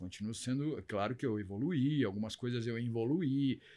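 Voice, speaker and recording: A man's voice has a dark, mellow tone. He speaks at a moderate pace. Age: 60s. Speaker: LGBT activist. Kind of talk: interview.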